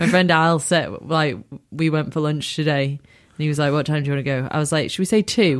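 A woman talks at a fairly quick pace in a very deep, low voice. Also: ordinary pitch variation. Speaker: podcast guest. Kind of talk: casual chat.

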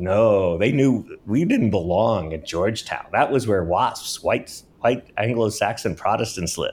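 Fairly slow, nearly pauseless speech from a man with a fairly low pitch, ordinary pitch variation, and an American accent. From Washington, D.C. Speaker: researcher. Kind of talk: interview. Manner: halting.

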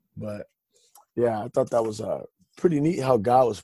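A man with a Californian accent has a medium pitch and a dark, mellow tone. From Stockton, California. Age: 30s. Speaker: testimony guest. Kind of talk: testimony. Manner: halting.

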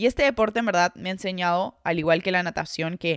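A woman with an ordinary speaking voice talks at a moderate pace and medium pitch, with ordinary pitch variation, in a very clean recording with a silent background and a dry, close sound with no echo. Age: 20s. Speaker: podcast host, psychologist and sports mentor. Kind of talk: solo podcast monologue.

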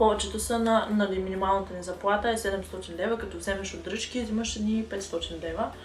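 Over noticeable background noise and audible room echo, a woman speaks at a moderate pace with hardly any pauses. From Bulgaria, Sliven. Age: 20s. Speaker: cosmetics maker and law student. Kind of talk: casual chat. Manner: halting.

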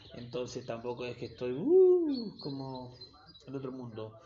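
A man with an Argentine accent speaks at a fairly slow pace. Noticeable background noise runs behind him. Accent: Rioplatense Argentine Spanish. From Argentina, Buenos Aires south zone (Quilmes). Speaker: backpacker podcaster. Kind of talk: casual monologue. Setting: solo home recording.

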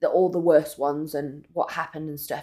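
A woman with a northern English accent and fairly even intonation. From northern England. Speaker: podcast co-host. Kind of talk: casual chat.

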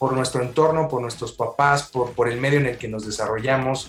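This man has a plain, everyday voice. He talks at a fairly quick pace with fairly even intonation. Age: 40s. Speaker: life coach. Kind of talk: interview.

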